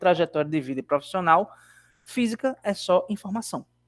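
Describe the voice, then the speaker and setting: The speaker has a bright, sharp tone and lively intonation at a fairly slow pace. The sound is dry and close, with no echo. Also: man. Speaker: university lecturer. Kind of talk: online lecture.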